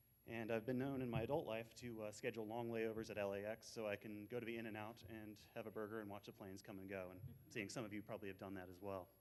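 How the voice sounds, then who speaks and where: A man's fairly low voice at a very fast pace, monotone and flat, with hardly any pauses. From United States (moved from New Zealand at age four). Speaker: aviation consultant, panel speaker. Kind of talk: conference presentation.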